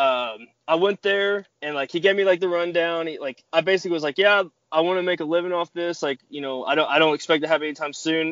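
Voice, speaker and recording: Talking very fast with hardly any pauses, a man with an American accent uses a high pitch and ordinary pitch variation. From Kentucky, small town. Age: 20s. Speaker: professional wrestler. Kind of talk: casual interview chat.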